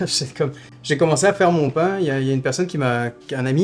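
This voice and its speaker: Noticeable background noise runs under a man who talks at a very fast pace with ordinary pitch variation. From southern France (Toulouse). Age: 30s. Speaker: artisan baker. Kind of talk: documentary interview. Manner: hesitant, many fillers.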